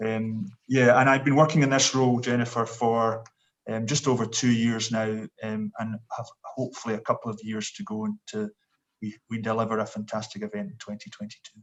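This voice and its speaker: Speaking fairly quickly with a Scottish accent, the man has a medium pitch and fairly even intonation, and his loudness swings widely. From Scotland. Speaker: sports event executive. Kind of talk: panel introduction. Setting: video call.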